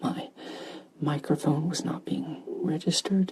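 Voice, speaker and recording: Fairly slow speech amid noticeable background noise. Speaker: ASMR gaming creator. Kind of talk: soft-spoken ASMR chat. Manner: soft-spoken, not whispering.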